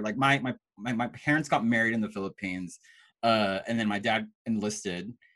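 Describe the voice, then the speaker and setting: A fairly quick-paced man with lively intonation. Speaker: podcast host. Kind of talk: casual interview. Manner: animated.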